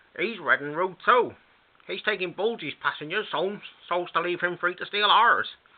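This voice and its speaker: Putting on a shrill character voice, a man talks at a moderate pace and a high pitch. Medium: read story. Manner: shrill, anxious.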